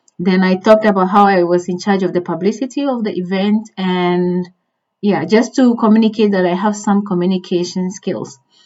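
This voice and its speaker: A woman with a non-native accent speaks at a medium pitch and a moderate pace, with fairly even intonation. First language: not English. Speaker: career advice youtuber. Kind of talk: tutorial. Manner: conversational with fillers.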